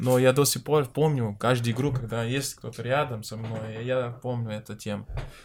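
Hardly pausing, a man in a Portuguese accent talks at a moderate pace and medium pitch, his intonation monotone and flat while his loudness swings widely. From Brazil, Minas Gerais. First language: Portuguese (speaking Russian). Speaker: professional football goalkeeper. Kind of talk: casual interview chat. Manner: halting.

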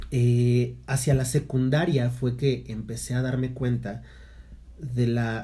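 With audible room echo around him, a man talks very slowly at medium pitch, his voice dark, mellow and somewhat breathy, his intonation monotone and flat. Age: 30s. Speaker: podcast co-host, theatre teacher. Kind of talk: casual chat.

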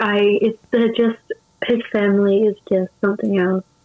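A woman with an Australian accent speaks at a fairly slow pace. Her intonation is monotone and flat. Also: very even loudness. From Adelaide, South Australia. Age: 20s. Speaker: Twitch streamer. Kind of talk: casual interview chat. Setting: video call.

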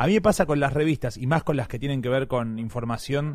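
A man speaks in a Rioplatense accent. His pitch variation is ordinary. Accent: Argentine Spanish (rioplatense). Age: young. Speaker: podcast co-host. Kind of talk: casual chat.

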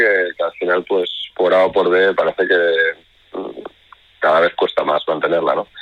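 A man speaks at a fairly slow pace. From Ibiza, Spain. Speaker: band vocalist. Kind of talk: radio interview.

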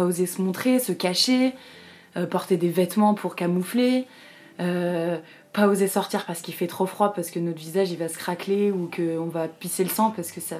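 A woman's ordinary speaking voice, fairly slow in pace, with ordinary pitch variation. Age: 20s. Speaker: artist sharing eczema experience. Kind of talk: testimony.

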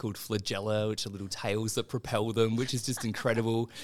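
A man with a fairly low voice and an Australian accent, at a fairly quick pace, on a very clean recording with a silent background. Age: 30s. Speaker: medical doctor and children's author. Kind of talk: interview. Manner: halting, with repetitions; animated.

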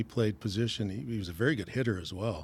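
Somewhat breathy speech moves at a very fast pace with ordinary pitch variation. The recording is very clean, with a silent background. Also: man. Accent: Canadian. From Canada, Stratford, Ontario. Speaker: retired firefighter and former baseball player. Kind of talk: casual interview.

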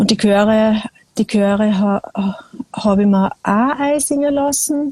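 Pausing long and often, a woman with a fairly high pitch and ordinary pitch variation speaks at a very slow pace with very even loudness, in a dry, close sound with no echo. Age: 40s. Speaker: singer-songwriter. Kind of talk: casual conversation. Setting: video call from a small balcony.

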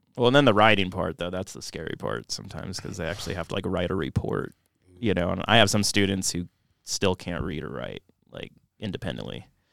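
A man talks at a very fast pace in a very deep, low pitch with vocal fry and lively intonation. His loudness swings widely, and the sound is dry and close with no echo. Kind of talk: casual podcast chat.

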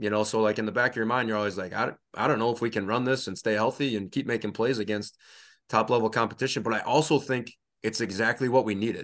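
With a Wisconsin accent, a man talks at a very fast pace and medium pitch with fairly even intonation, over a quiet background. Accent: Upper Midwest (Wisconsin). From Northeast Wisconsin, rural. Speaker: high school football coach and referee. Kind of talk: casual interview.

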